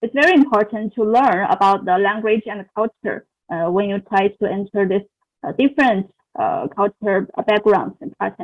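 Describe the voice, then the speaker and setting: Lively intonation at a moderate pace, with a non-native accent. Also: woman, fairly high pitch for a woman. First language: not English. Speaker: international graduate student. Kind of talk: interview answer. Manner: halting, many fillers.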